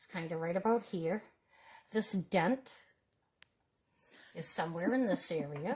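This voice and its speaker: A loud woman's voice of medium pitch, with lively intonation, a fairly slow pace and long, frequent pauses. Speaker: artist teaching a drawing demo. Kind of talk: tutorial demonstration.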